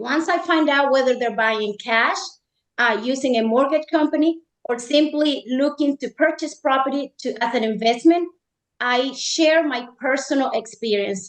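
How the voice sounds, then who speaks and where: High female voice at a moderate pace. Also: ordinary pitch variation. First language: not English. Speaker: real estate agent. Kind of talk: panel discussion.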